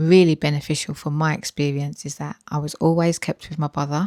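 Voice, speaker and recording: In a British accent, a woman speaks with a very deep, low pitch and fairly even intonation. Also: very clean recording, silent background. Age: 40s. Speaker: health and weight-loss vlogger. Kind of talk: personal vlog storytelling. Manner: conversational with frequent fillers.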